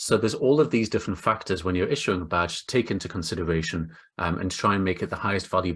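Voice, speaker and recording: With an English accent, a man talks at a very fast pace with hardly any pauses, his very deep, low voice showing ordinary pitch variation. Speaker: webinar panelist, credentialing consultant. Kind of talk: online presentation.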